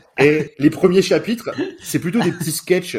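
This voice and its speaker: The man speaks with lively intonation. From northern France. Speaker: podcast co-host. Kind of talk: casual chat.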